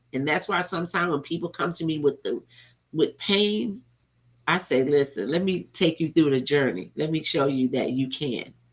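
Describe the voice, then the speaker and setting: Speaking at a moderate pace, a woman uses a very deep, low pitch on a very clean recording with a silent background. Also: ordinary pitch variation. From US South, Georgia. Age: 60s. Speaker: motivational speaker and treatment center counselor. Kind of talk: interview testimony.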